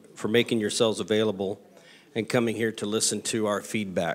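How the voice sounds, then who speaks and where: This is a man speaking. His intonation stays fairly even. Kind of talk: public address remarks. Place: meeting room. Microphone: podium.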